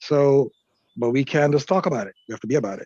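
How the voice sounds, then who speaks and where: At a fairly quick pace, a man with a dark, mellow tone speaks with fairly even intonation in a dry, close sound with no echo. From Jamaica. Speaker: Rastafari panelist. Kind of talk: webinar panel discussion.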